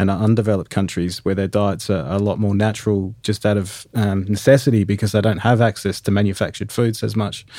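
A man with an Australian accent speaks at a very fast pace in a monotone, flat manner. His voice is fairly low in pitch with a dark, mellow tone. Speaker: podcast host. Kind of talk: casual interview. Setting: remote recording.

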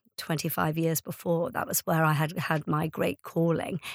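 On a very clean recording with a silent background and a dry, close sound with no echo, a woman with an Irish accent speaks at a moderate pace in a fairly low pitch. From Ireland. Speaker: charity founder and CEO. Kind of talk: interview.

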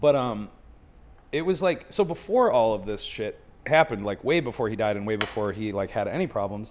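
At a fairly quick pace, a man speaks in an unremarkable speaking voice of medium pitch with lively intonation. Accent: American. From Buffalo, New York. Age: 30s. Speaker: comedian. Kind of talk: casual chat.

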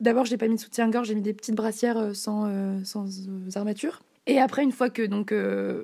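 Speaking at a fairly quick pace, a woman has a dark, mellow tone and a fairly high pitch. Her intonation stays monotone and flat. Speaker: interviewee. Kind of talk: interview.

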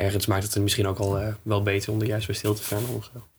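Over noticeable background noise, a man talks fairly quickly at a fairly low pitch with monotone, flat intonation. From Netherlands, Groningen area. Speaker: musician. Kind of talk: casual interview.

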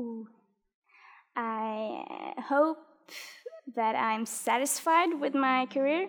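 A woman with a high voice and ordinary pitch variation speaks very slowly, leaving long, frequent pauses. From Norway. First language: Norwegian. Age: 20s. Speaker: badminton player. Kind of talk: interview. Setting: studio.

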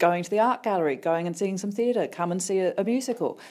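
A woman at medium pitch, very fast in pace, with lively intonation and a dark, mellow tone. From Australia, Sydney. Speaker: theatre chief executive. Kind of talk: radio interview.

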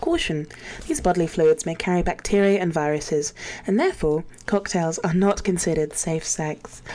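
A woman with an English accent, fairly low pitch and fairly even intonation, at a moderate pace over noticeable background noise. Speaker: caller. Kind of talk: reading aloud. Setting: phone call.

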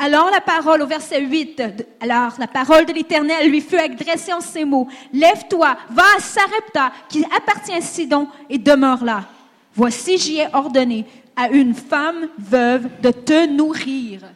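Her pace is fairly slow. The woman's voice sits high in pitch. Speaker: interpreter and conference speaker. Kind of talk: consecutive interpreting of a sermon, plus personal testimony.

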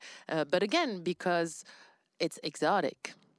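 A woman speaks with a French accent at a fairly slow pace. Her pitch varies in an ordinary way, and the sound is dry and close with no echo. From France. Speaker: podcast co-host. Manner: conversational, relaxed.

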